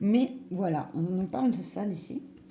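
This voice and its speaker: A woman talks at a fairly slow pace with very wide pitch swings. Room echo is audible around her voice. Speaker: tarot reader. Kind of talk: tarot reading. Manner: hesitant, many fillers.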